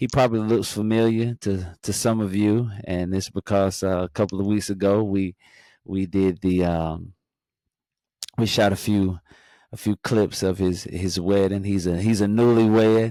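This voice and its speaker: With a slight North Carolina accent, a man speaks at a moderate pace in a dark, mellow tone. His pitch is fairly low and his intonation fairly even. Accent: slight North Carolina twang. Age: 40s. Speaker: podcast host. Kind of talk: show intro; casual chat.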